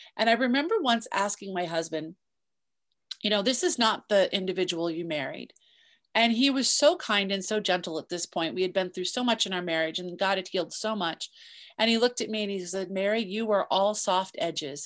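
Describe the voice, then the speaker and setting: Over a quiet background, a woman uses a normal speaking voice at medium pitch, with ordinary pitch variation and a fairly quick pace. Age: 50s. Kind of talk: interview.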